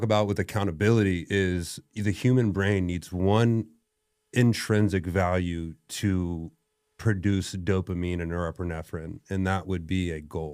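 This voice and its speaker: On a very clean recording with a silent background, a man speaks with a very deep, low pitch. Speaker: strength coach and gym owner. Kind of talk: podcast conversation. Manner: loud; animated.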